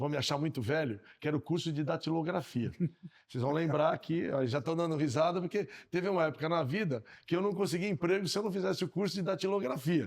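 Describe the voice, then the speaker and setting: A man's very fast, fairly high-pitched speech with lively intonation. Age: 60s. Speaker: podcast co-host. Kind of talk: casual podcast conversation.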